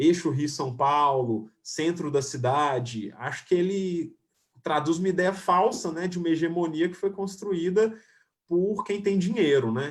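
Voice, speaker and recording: With a Minas Gerais accent, a man speaks at a fairly slow pace in a high voice, using lively intonation. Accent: Minas Gerais Brazilian Portuguese. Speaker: filmmaker and screenwriter. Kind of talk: online panel discussion. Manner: halting, many fillers and restarts.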